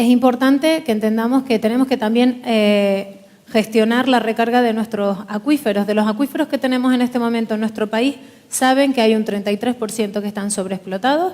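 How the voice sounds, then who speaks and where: Over noticeable background noise, the speaker moves at a fairly quick pace with fairly even intonation. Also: woman, fairly high pitch for a woman. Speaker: politician. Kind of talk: panel forum speech. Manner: formal.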